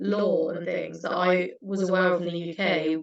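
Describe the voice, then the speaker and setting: A woman with a British accent speaks at a moderate pace with ordinary pitch variation. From UK. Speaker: former intern at a legal charity. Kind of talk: panel Q&A answers.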